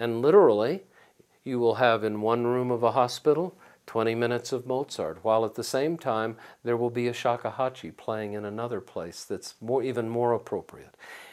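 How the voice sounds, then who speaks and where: A man speaks at a moderate pace in a medium pitch, with ordinary pitch variation and a plain, everyday voice, on a very clean recording with a silent background. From Texas (San Antonio). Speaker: author and music educator. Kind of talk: interview.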